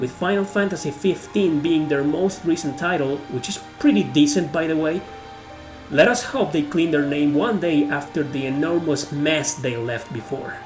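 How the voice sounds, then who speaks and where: With music in the background, a man speaks at a fairly high pitch in a non-native accent, using ordinary pitch variation. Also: moderate pace. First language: not English. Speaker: video game YouTuber. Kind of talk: video game top-ten list narration.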